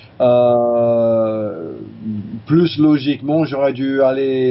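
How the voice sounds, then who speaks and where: A male voice sits in the middle of his range. The melody of his speech stays mostly flat. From California, US. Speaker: chiropractor and teacher. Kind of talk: interview. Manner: halting, many fillers.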